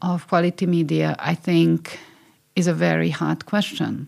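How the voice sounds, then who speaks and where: In a very clean recording with a silent background, a woman speaks at a fairly slow pace with a Hungarian accent. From Hungary. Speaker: media scholar and former regulator. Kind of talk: interview. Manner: halting.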